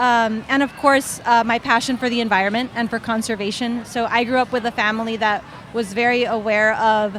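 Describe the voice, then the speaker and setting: A woman with a Spanish accent speaks at a fairly quick pace with hardly any pauses. Her fairly high voice keeps a monotone, flat intonation over noticeable background noise. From Honduras. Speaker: children's book author. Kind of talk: panel discussion. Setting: book festival panel.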